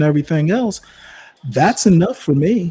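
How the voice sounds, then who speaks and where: With an American accent and a dark, mellow tone, a man speaks with lively intonation. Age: 60s. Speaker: live stream panelist. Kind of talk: heated debate. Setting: live video stream. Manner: animated.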